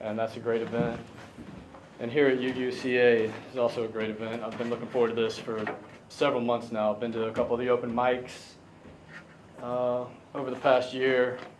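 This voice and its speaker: Noticeable background noise sits under a man's flat, monotone voice at medium pitch, broken by long, frequent pauses. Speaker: poet. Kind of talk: talk to a live audience between poems. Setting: live venue.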